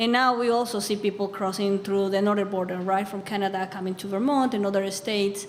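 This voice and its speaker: Amid noticeable background noise, a woman at a medium pitch talks very fast in a monotone, flat intonation with hardly any pauses. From Bolivia. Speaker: immigrant advocate. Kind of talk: panel discussion.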